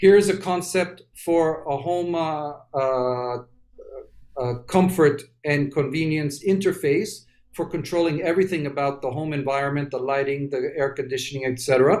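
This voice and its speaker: This man has a plain, everyday voice, fairly high-pitched for a man, with ordinary pitch variation at a moderate pace. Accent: American. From New York City. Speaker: industrial designer. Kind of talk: presentation of design work.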